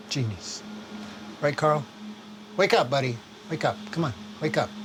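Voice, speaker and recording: Against noticeable background noise, a man with an American accent and a fairly high voice speaks at a moderate pace, his pitch swinging very widely. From New York. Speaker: desert homesteader. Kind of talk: casual chat.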